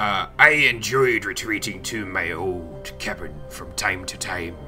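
A man uses a put-on character voice, very deep and low in pitch. He goes at a fairly slow pace over clear music in the background.

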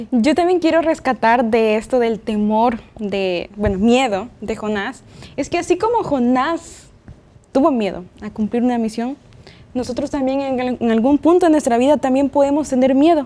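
A woman's high voice moves along at a moderate pace. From El Salvador. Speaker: Bible study participant. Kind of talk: Bible study discussion. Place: studio. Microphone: lapel.

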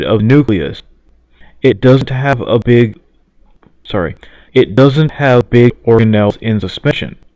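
Recorded dry with no echo against a quiet background, a man talks at a fairly slow pace with ordinary pitch variation. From United States. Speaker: reader for a friend. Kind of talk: presentation slide reading. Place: home room. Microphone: webcam.

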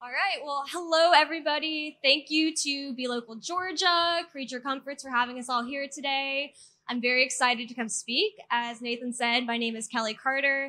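A woman speaks with a high pitch at a moderate pace, hardly any pauses, ordinary pitch variation and big swings in loudness. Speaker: speaker. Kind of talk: public talk. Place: garden. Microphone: handheld.

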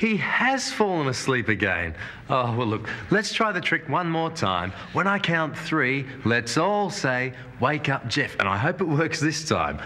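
At a fairly slow pace, a man speaks with very wide pitch swings. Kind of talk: children's show presenting. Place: studio.

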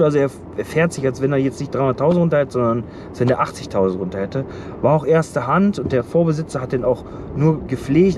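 A man's very fast, lively-toned speech, dry with no echo, amid noticeable background noise. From Germany. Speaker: truck driver and vlogger; vlogger. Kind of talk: casual vlog. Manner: halting. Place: car. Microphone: phone near.

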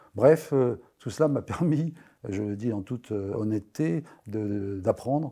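A man with a fairly low pitch and a dark, mellow tone talks at a very slow pace with ordinary pitch variation over a quiet background. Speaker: comic book writer and history-geography teacher; comic book writer. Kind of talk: interview. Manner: halting, many hesitations. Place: studio. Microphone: lapel.

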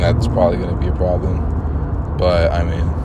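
Over loud background noise, a man speaks with ordinary pitch variation, the sound dry with no echo. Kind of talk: casual vlog chat.

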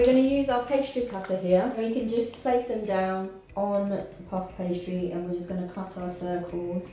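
Faint music plays and the room echo is audible. A woman speaks at a moderate pace with ordinary pitch variation. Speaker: cooking show host. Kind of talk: tutorial. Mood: relaxed, friendly. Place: kitchen.

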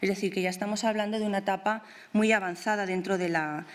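A woman's voice with fairly even intonation. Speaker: art historian and museum researcher; art researcher lecturer. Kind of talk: lecture. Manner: hesitant with fillers and repetitions. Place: hall. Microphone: podium.

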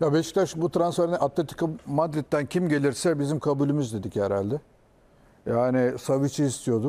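A man talks at a moderate pace with a dark, mellow tone. His pitch is fairly high, with ordinary pitch variation. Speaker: football pundit. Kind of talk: casual chat.

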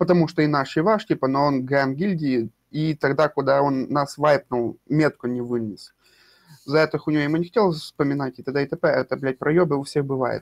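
In a normal speaking voice, a man talks at a moderate pace and a fairly high pitch with ordinary pitch variation, the sound dry and close with no echo. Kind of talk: heated debate. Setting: voice chat during game raid.

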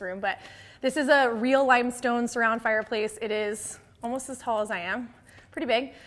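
Keeping a moderate pace, a woman talks with fairly even intonation. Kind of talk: house tour presentation. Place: home room. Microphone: lapel.

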